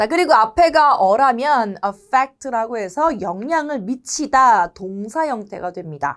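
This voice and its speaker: A woman talks very slowly with hardly any pauses, her fairly high voice swinging very widely, in a very clean recording with a silent background. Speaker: English teacher. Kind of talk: lecture.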